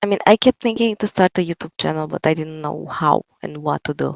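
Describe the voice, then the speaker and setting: A woman's fairly quick speech with a strong Romanian accent. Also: dry, close sound with no echo. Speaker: writer and TikTok creator. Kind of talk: interview. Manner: soft-spoken.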